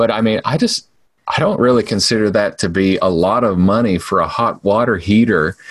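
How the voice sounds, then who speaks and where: At a fairly quick pace, a man uses a plain, everyday voice at medium pitch, with ordinary pitch variation and very even loudness. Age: 40s. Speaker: podcast host, business owner. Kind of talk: casual chat.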